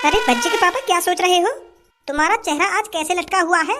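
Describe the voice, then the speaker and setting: A woman's put-on character voice at an extremely high pitch, fairly quick, with lively intonation and faint music in the background. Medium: comedy sketch. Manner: calm, placating.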